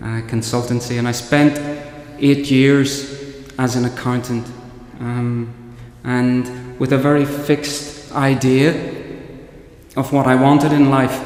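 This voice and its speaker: Amid noticeable background noise and audible room echo, a man speaks at a very slow pace with long, frequent pauses. His medium pitch stays monotone and flat. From Northern Ireland. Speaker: priest. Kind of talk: homily. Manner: halting, with frequent repetitions.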